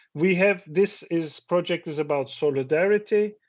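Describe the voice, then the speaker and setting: A man speaks in a Turkish accent at a high pitch. His pitch varies in an ordinary way. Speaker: professor. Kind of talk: conference talk. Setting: video call.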